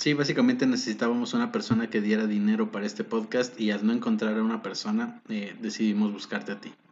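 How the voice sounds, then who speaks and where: Hardly pausing at all, the man rattles on at a very fast pace. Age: 20s. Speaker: podcast host. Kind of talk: casual chat. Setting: home studio.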